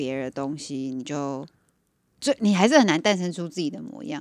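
Her pitch swings through a very wide range. This woman's voice is very deep and low. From Taiwan. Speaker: podcast co-host. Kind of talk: casual chat.

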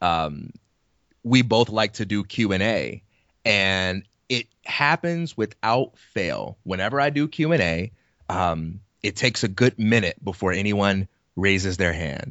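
Speaking at a fairly slow pace, a man with a fairly low voice uses lively intonation. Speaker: podcast co-host. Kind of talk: casual chat.

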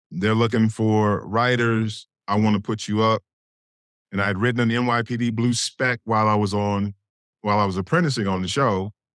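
On a very clean recording with a silent background and a dry, close sound with no echo, an unremarkable speaking voice moves at a moderate pace with fairly even intonation and very even loudness. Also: man, fairly low pitch for a man. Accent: American. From Gary, Indiana, US Midwest. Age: 50s. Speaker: TV writer and showrunner. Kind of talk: interview.

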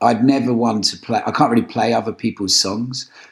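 In an English accent with ordinary pitch variation, the voice comes through on a very clean recording with a silent background. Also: man. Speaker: musician. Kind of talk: casual chat.

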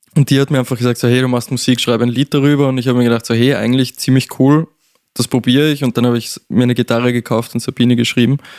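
Speaking at a very fast pace in a monotone, flat way, a man is heard in a dry, close sound with no echo. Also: medium pitch for a man, very even loudness. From Austria, Salzburg. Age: 20s. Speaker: singer-songwriter. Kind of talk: casual chat. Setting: studio.

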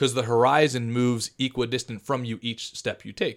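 In a normal speaking voice, a man talks with an American accent at a moderate pace and medium pitch. The recording is very clean, with a silent background. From Philadelphia. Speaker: entrepreneur and programmer. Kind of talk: casual chat. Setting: studio.

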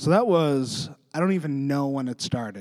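With a Western Canadian accent, a man talks at a moderate pace and medium pitch with ordinary pitch variation, in a dry, close sound with no echo on a very clean recording over a silent background. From interior British Columbia, Canada. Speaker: writer and editor, comedian. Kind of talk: casual interview chat.

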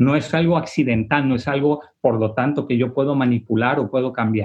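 Somewhat breathy, a man speaks at a fairly high pitch and a moderate pace. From Tijuana, Mexico. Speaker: priest. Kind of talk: panel discussion. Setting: video call.

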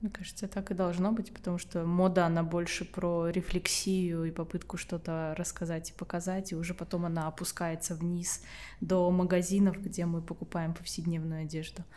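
Her tone dark and mellow, a woman with a fairly low pitch speaks in monotone, flat intonation. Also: moderate pace. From Estonia. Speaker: podcast host. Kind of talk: interview conversation.

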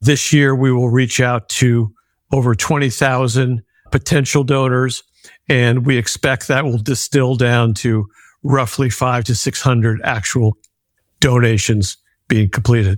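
This man speaks fairly slowly in an ordinary speaking voice, medium in pitch, with fairly even intonation and very even loudness. The sound is dry and close, with no echo. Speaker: nonprofit founder and kidney donor. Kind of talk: interview.

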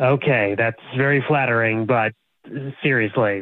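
A man speaks in a plain, everyday voice at a fairly slow pace. His pitch is medium and his intonation fairly even. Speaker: prank call recipient, expectant father. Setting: phone. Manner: flustered, increasingly uncomfortable.

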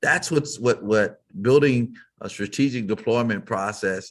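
This man has an unremarkable speaking voice at a medium pitch, with ordinary pitch variation and an American accent. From Texas, Fort Worth. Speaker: business leader and keynote speaker. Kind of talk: interview.

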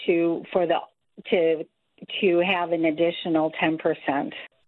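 A woman with a fairly low pitch and an American accent speaks at a fairly slow pace. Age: 60s. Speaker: caller. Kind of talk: call-in question. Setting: phone call. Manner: halting.

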